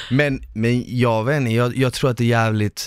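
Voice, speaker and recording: A man's voice comes through dry and close with no echo on a very clean recording with a silent background. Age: 20s. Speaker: podcast host, former reality TV contestant. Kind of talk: casual chat.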